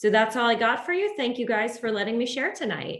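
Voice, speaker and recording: A woman speaks at a fairly quick pace with a fairly high pitch and ordinary pitch variation. It is a normal speaking voice. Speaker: medical professional sharing health tips. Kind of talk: online community presentation.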